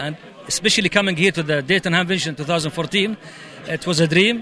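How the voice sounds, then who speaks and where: A high-pitched man with an Arabic accent, fairly even intonation and a fairly quick pace, against noticeable background noise. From Saudi Arabia. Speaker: amateur radio operator. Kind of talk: interview at convention.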